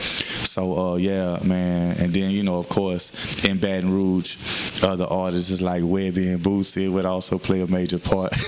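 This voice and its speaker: With a Southern US accent, a man speaks at a moderate pace in a very deep, low pitch, and noticeable background noise can be heard. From Houston, Texas, with time in Louisiana and Mississippi. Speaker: rapper. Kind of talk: interview. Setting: radio show. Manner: many fillers and hesitations.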